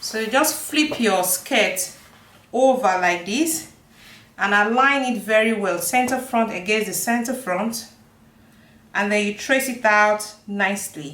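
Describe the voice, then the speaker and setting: A woman at a fairly slow pace, fairly high in pitch with ordinary pitch variation, a bright, sharp tone and audible room echo. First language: not English. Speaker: sewing and pattern making teacher. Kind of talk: tutorial.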